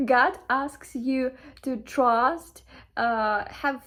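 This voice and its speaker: Her intonation is fairly even, and she has a Ukrainian accent. The woman is heard in a very clean recording with a silent background. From Ukraine. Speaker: spiritual content creator. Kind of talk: casual motivational monologue. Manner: halting, many fillers.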